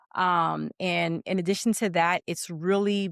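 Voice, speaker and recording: A woman talks at a fairly low pitch. The sound is dry and close with no echo, on a very clean recording with a silent background. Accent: Pittsburgh. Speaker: educator and single mother. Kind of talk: interview. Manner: halting, many fillers.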